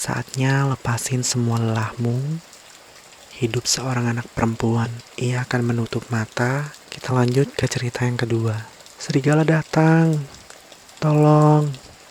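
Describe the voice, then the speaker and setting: A soft-spoken man whispers at a fairly slow pace. Noticeable background noise is present. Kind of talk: sleep story, bedtime fairy tale reading. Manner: whispered, soft, slow.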